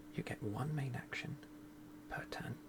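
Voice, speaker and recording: A soft-spoken voice over noticeable background noise. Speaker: board game video creator. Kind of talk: tutorial.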